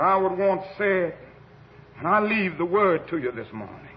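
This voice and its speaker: A man with a Southern US accent, high-pitched and solemn, at a moderate pace. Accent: Southern American. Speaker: Baptist preacher. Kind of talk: church sermon delivered to a congregation. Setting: church, live congregation recording. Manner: solemn, cadenced, rhetorical.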